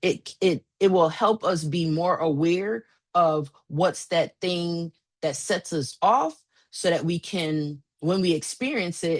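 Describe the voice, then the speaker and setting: A woman with fairly low pitch, ordinary pitch variation and an unremarkable speaking voice. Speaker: therapist and coach. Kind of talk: presentation to a small group.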